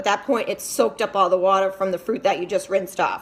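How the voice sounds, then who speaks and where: This woman talks very fast. She has an American accent. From New England (Massachusetts). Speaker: fitness vlogger. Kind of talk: casual vlog tutorial. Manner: chatty, many fillers.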